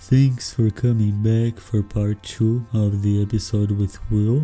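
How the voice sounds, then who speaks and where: The pace is fairly slow. Background music is present. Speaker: podcast host. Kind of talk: podcast intro.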